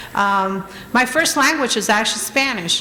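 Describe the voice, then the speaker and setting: A woman with an American accent speaks at a fairly slow pace. Audible room echo and noticeable background noise fill the recording. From Trenton, New Jersey, US. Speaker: honoree, business owner and community advocate. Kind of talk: award acceptance speech. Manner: halting, many fillers.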